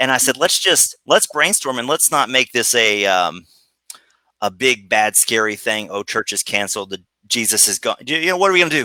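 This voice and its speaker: A man speaks at medium pitch with lively intonation and a bright, sharp tone. The sound is dry and close, with no echo. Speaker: children's ministry writer and leader. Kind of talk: casual chat. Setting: Facebook live video call. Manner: fast.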